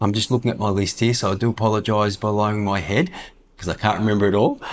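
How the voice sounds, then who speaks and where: Fairly low in pitch, a man talks at a fairly quick pace. He has an Australian accent. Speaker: retiree vlogger. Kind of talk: casual vlog talk. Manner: halting, many fillers.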